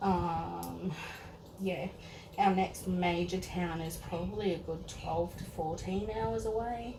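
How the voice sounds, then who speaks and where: A woman with an Australian accent talks at a very slow pace, her pitch fairly low and her intonation lively. Noticeable background noise and audible room echo fill the recording. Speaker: teacher and doll collector. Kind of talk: casual unboxing vlog. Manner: rambling, filler-heavy.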